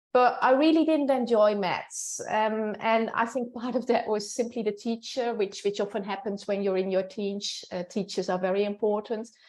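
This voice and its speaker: With a Dutch accent, a woman talks at a moderate pace with hardly any pauses, her fairly high pitch showing ordinary variation. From Netherlands. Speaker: professor. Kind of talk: interview. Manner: hesitant, with fillers.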